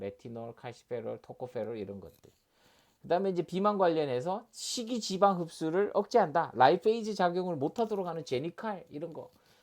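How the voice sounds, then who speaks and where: Pitched high, a man's voice makes very wide pitch swings on a very clean recording with a silent background. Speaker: doctor and pharmacology lecturer. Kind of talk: lecture. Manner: fast; hesitant, many fillers.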